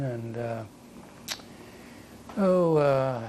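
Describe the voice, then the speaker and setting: Over noticeable background noise, a man speaks at medium pitch with an American accent. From US Midwest, southwest Ohio. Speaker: war veteran. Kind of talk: oral history interview. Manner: halting.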